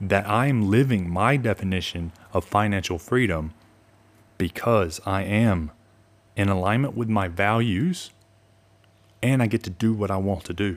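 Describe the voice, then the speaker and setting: This man speaks fairly slowly with a fairly low pitch and ordinary pitch variation. The recording is very clean, with a silent background. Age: 30s. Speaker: personal finance podcast host. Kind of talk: solo podcast monologue. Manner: casual, conversational.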